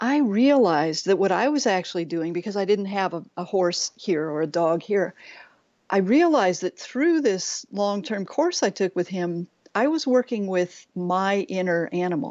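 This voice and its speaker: A woman's ordinary speaking voice, an ordinary speaking voice with lively intonation at a moderate pace. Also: medium pitch for a woman. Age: 60s. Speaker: nature guide and life coach. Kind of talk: interview conversation.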